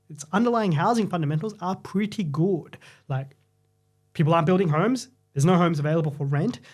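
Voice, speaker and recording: Over a silent background in a very clean recording, a man with a high voice speaks at a very fast pace with ordinary pitch variation. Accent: Australian. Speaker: property market commentator. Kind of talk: podcast discussion.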